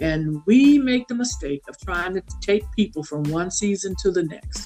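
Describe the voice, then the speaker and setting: A woman's medium-pitched voice with lively intonation at a fairly slow pace, music in the background. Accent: Southern US. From south Louisiana, USA. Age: 60s. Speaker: consultant and author. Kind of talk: podcast interview answer.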